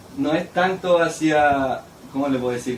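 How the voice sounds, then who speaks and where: A man's fairly high-pitched voice with ordinary pitch variation, audible room echo, and noticeable background noise. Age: 20s. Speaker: missionary preacher. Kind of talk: sermon. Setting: church service.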